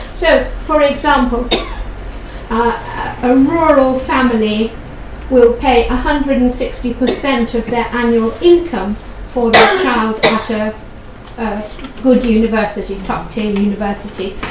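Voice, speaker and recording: A woman's high voice, very slow, with ordinary pitch variation and noticeable background noise. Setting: room with audience, one microphone. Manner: loud.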